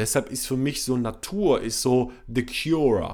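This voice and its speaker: This man has a medium pitch and an animated tone. He speaks at a fairly slow pace. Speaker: sleep coach and podcast host. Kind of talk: casual solo podcast monologue.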